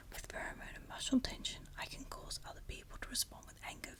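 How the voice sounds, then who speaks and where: A woman whispers at a fairly quick pace. Noticeable background noise runs underneath. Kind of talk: whispered ASMR story reading. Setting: recorded at home, with wind and leaves banging on the window in the background. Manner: whispered, soft.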